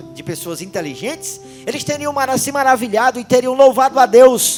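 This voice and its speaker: The delivery is fairly slow. Background music can be heard. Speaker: preacher. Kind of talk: sermon. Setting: church service.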